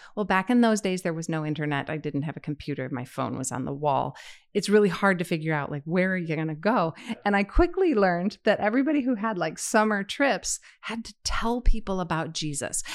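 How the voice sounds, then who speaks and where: An ordinary speaking voice: a woman with an American accent, medium in pitch, talking at a fairly quick pace with lively intonation. Her loudness swings widely, and the recording is very clean with a silent background. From Chicago, US Midwest. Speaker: church member. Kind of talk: casual chat.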